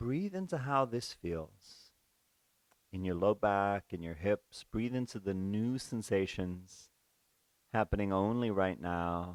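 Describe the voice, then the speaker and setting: A man speaks at a very slow pace in a fairly low voice. His tone is calm, with ordinary pitch variation. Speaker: yoga teacher. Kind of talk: guided yoga class. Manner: calm, slow instructive pacing.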